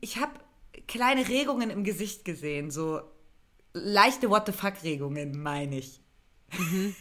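A woman at a moderate pace, with very wide pitch swings and long, frequent pauses. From eastern Germany. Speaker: comedy writer and podcast co-host. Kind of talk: casual chat.

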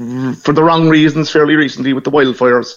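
This man talks with a Cork accent and a fairly high pitch. His intonation is fairly even. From Ireland, Cork (Knocknaheeny). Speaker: Irish emigrant returning home. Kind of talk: radio phone interview.

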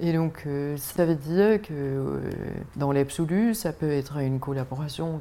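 Speaking at a very slow pace, a woman uses a very deep, low pitch. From Denmark. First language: Danish (speaking French). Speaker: art gallery owner. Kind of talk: casual interview. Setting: outdoors on a riverside barge.

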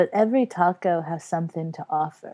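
A woman with a Texan accent and a dark, mellow tone speaks at a fairly slow pace and medium pitch with ordinary pitch variation, the sound dry and close with no echo over a quiet background. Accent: Texan American. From Texas. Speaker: comedian. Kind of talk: casual chat.

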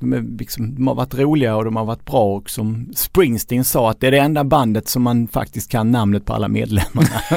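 A man has a normal speaking voice with medium pitch and ordinary pitch variation. He talks at a fairly quick pace, with hardly any pauses. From southern Sweden (Skåne, Lund). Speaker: author and journalist. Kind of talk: casual chat.

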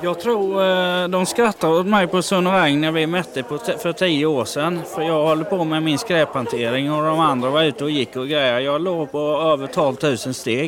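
Against noticeable background noise, a man with a fairly high pitch talks at a moderate pace with ordinary pitch variation and hardly any pauses. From Halland, Sweden. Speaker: warehouse worker. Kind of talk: casual chat. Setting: inside a large store.

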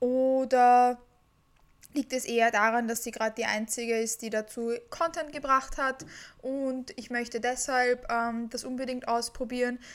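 A woman with a high pitch, a monotone, flat intonation and a fairly slow pace, in a very clean recording with a silent background. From Austria, Vienna. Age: 20s. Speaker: podcast host and fitness coach. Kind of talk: solo podcast monologue.

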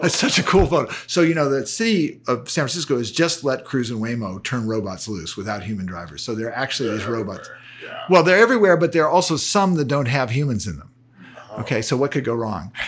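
A man with an American accent talks at a very fast pace, his medium-pitched voice making very wide pitch swings and big swings in loudness. Noticeable background noise runs underneath. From US West Coast, Palo Alto, California. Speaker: retired technology journalist. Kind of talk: interview conversation.

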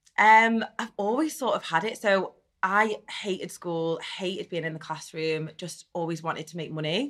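A woman with a strong Liverpool accent and lively intonation. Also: medium pitch for a woman, moderate pace, very clean recording, silent background. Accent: strong Liverpool (Scouse). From Netherlands, raised in Liverpool. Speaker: reality TV contestant and business owner. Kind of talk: casual interview. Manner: chatty, frequent fillers.

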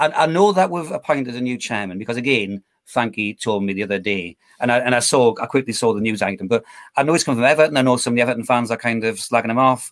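With a Geordie accent, a man talks at a very fast pace in a medium pitch with ordinary pitch variation, on a very clean recording over a silent background. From northeast England (Newcastle area). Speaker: football fan and amateur commentator. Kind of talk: casual chat. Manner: repetitive, stammering starts.

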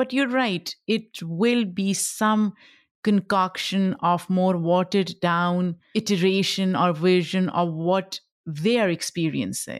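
A woman with a Pashto accent talks very slowly at a medium pitch, her loudness very even and her pitch varying in an ordinary way. The recording is very clean and the background silent. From Pakistan. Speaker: podcast host and creator. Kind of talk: casual interview chat.

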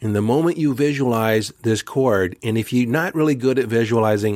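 A man with a plain, everyday voice speaks at medium pitch and a moderate pace, with ordinary pitch variation. The sound is dry and close with no echo, in a very clean recording with a silent background. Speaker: spiritual coach and podcast host. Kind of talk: guided meditation.

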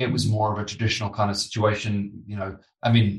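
Moderately paced with a fairly bright tone, a man in an English accent speaks at a fairly low pitch amid audible room echo. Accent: British, English.

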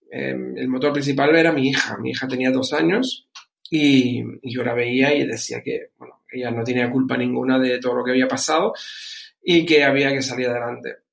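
A man speaks with a Canarian accent. He keeps a moderate pace. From Canary Islands, Spain. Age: 40s. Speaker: entrepreneur. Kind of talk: interview. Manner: halting, repeats words.

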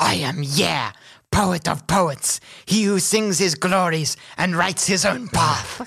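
A put-on character voice sits at a middle pitch and sounds raspy. It moves at a fairly slow pace. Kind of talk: comic overacting. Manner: grandiose, broken caveman speech.

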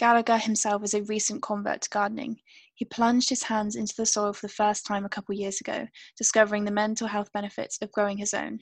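A woman with a British accent talks at a very fast pace in a fairly high, flat monotone. The sound is dry and close, with no echo. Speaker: podcast co-host. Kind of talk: casual chat.

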